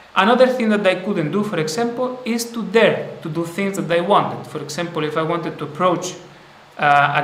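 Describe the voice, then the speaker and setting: Amid audible room echo and noticeable background noise, a man talks at a moderate pace with ordinary pitch variation. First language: not English. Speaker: spiritual teacher. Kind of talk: live stream talk. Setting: live stream. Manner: halting.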